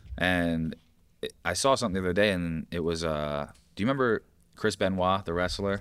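In a very clean recording with a silent background, a man with a very deep, low pitch and ordinary pitch variation talks at a fairly quick pace broken by long, frequent pauses. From upstate New York. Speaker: podcast co-host and gym trainer. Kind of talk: casual chat. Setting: gym.

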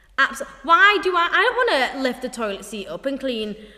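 A woman speaks with a high pitch and very wide pitch swings at a fairly slow pace. Noticeable background noise sits behind her. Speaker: podcast co-host. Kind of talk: casual, chatty, swears freely.

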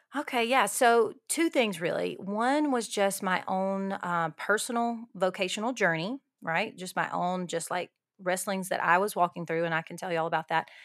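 Heard in a very clean recording with a silent background, a woman with a Southern US accent speaks at a medium pitch and a moderate pace with ordinary pitch variation. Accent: Southern American. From Alabama, US South. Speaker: ministry leader and writer. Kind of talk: casual interview.

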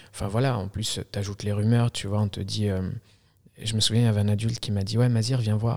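Fairly low-pitched and monotone with flat intonation, a man speaks at a very fast pace. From Algeria. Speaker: filmmaker. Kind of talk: casual interview. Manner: halting.

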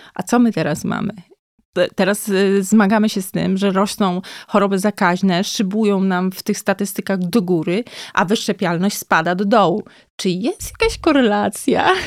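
A woman with a medium pitch speaks in an ordinary speaking voice at a moderate pace with fairly even intonation, the sound dry and close with no echo. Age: 40s. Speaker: psychiatrist. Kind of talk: casual chat.

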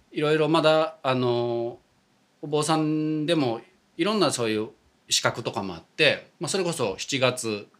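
A man with an ordinary speaking voice, fairly high in pitch, at a moderate pace with lively intonation. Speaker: Buddhist priest. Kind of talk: casual chat.

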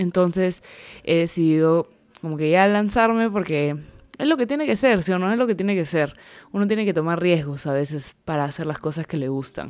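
Her pitch fairly low, a woman speaks at a fairly quick pace with lively intonation. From Peruvian Amazon. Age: 20s. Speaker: podcaster and social media creator. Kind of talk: podcast trailer monologue.

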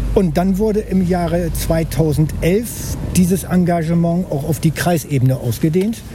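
Over noticeable background noise, a man with a high pitch and ordinary pitch variation speaks at a fairly slow pace with hardly any pauses. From northern Germany, Bremen-Nord. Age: 60s. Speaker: local politician. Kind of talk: casual chat. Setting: outdoors.

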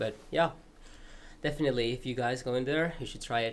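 With a Peruvian accent, a man speaks at a medium pitch in a bright, sharp tone, his pitch moving in an ordinary way. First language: Spanish. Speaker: student podcast member. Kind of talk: casual chat.

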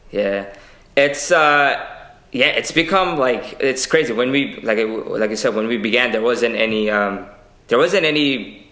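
Lively intonation marks this fairly slow speech in an American accent, recorded with audible room echo and noticeable background noise. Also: man, medium pitch for a man. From Queens, New York City. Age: young. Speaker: political candidate. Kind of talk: interview.

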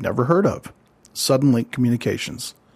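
In a very clean recording with a silent background, a man of medium pitch talks fairly quickly with lively intonation. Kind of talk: scripted monologue. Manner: fast.

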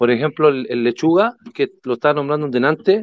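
This man has a Chilean accent. His pitch sits fairly high. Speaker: gamer. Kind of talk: casual chat.

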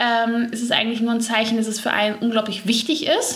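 A woman speaks with a fairly high pitch. Audible room echo and noticeable background noise fill the recording. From Ruhr area, Germany (Gelsenkirchen). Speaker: skin coach, beautician. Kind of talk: interview. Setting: in person.

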